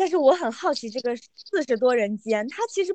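A woman speaks loudly in a high voice, her pitch swinging very widely. The sound is dry and close, with no echo. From Yunnan, Mangshi. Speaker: podcast co-host and editor. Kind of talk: casual chat. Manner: loud laughter.

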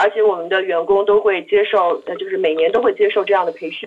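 A woman speaks at a fairly quick pace. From Beijing, China. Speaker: marketing professional at a resort company. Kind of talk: casual discussion.

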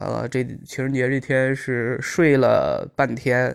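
The speaker is a man with a medium pitch. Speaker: accountant and stand-up comedian. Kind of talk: casual recorded monologue. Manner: halting, many fillers and repetitions.

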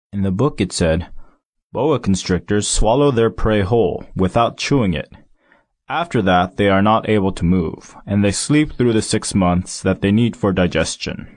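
A man's fairly low voice at a moderate pace, with ordinary pitch variation, an unremarkable speaking voice, and a quiet background. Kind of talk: audiobook reading aloud of a literary story, first-person narration. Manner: measured, storytelling pace with expressive, slightly wry narration.

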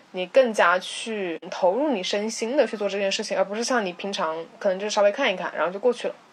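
Noticeable background noise sits behind a woman speaking at a very fast pace with hardly any pauses. Her medium-pitched voice shows ordinary pitch variation. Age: 20s. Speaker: podcast co-host. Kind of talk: casual chat.

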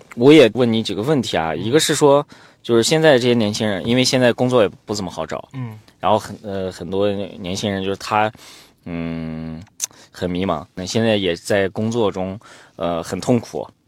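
Over a very clean recording with a silent background, a man speaks at a moderate pace. His fairly low voice carries lively intonation. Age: 30s. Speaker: podcast host. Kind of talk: interview podcast. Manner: hesitant, many fillers.

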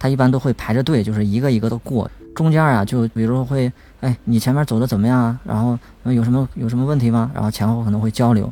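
A man talks at a very fast pace in a medium pitch with a dark, mellow tone. His intonation is fairly even and his loudness very even. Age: young. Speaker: blind podcast team member. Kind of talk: casual chat.

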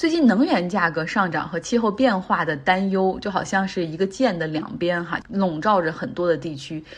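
A woman with a somewhat breathy, fairly low voice talks at a moderate pace with ordinary pitch variation. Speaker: podcast host. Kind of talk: solo news commentary. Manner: casual, conversational.

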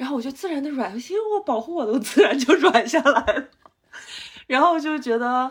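A woman speaks at a fairly quick pace in a high pitch with lively intonation. Her loudness swings widely. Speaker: meditation retreat participant. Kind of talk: casual chat.

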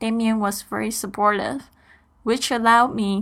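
Recorded very cleanly against a silent background, a woman with a fairly high pitch speaks in a Mandarin accent. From Taiwan. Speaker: podcast host. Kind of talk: scripted monologue.

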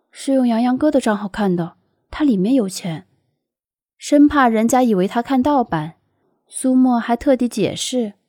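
A woman with a high pitch and a dark, mellow tone speaks at a moderate pace with lively intonation and long, frequent pauses. The sound is dry and close with no echo, in a very clean recording with a silent background. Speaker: audiobook narrator. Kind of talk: audiobook narration.

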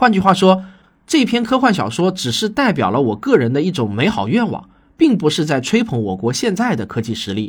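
On a very clean recording with a silent background, a man with a fairly high pitch speaks at a fairly quick pace with very wide pitch swings.

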